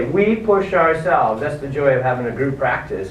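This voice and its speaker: Audible room echo and noticeable background noise behind a fairly quick-paced male speaker. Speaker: chiropractor and seminar speaker. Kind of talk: lecture. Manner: fast; animated.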